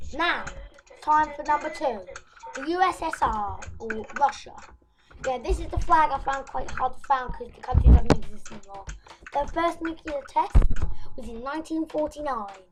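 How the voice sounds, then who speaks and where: A high-pitched woman with a British accent and lively intonation, at a moderate pace, with big swings in loudness, long and frequent pauses, and noticeable background noise. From UK. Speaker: YouTuber. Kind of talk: casual informational video. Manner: halting, self-correcting.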